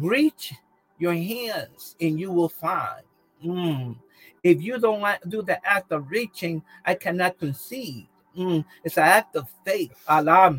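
Over music in the background, a man speaks in a high pitch with ordinary pitch variation, in a dry, close sound with no echo. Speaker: bishop leading prayer. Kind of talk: fervent prayer and prophetic declaration. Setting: live online prayer session. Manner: impassioned, repetitive, urgent exhortation; halting, with fillers and Spanish interjections.

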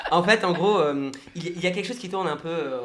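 The speech has ordinary pitch variation, and audible room echo can be heard. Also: man. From Brest, Brittany, France. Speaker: mentalist and hypnotist. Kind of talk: radio interview.

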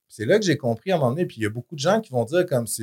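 Man with a Quebec accent, medium in pitch, somewhat breathy and dark and mellow in tone, with very wide pitch swings, dry and close with no echo. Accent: Québécois French. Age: 40s. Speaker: fitness influencer. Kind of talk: casual interview.

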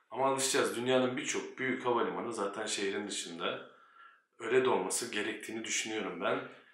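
Fairly quick speech from a man at a medium pitch, ordinary pitch variation, and audible room echo. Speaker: airline pilot and YouTuber. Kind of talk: casual vlog monologue.

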